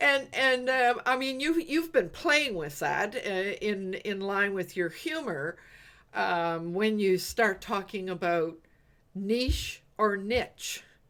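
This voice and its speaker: With an East Coast Canadian accent, a woman at a medium pitch talks at a very slow pace with very wide pitch swings. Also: very clean recording, silent background. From Eastern Canada. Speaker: business coach, livestream host. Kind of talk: casual group chat.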